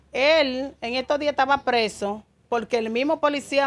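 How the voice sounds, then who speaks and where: In a Dominican accent, a woman with a high-pitched voice speaks at a fairly slow pace. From Dominican Republic. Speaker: mother of detained man. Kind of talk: interview testimony. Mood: upset, complaining. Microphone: handheld.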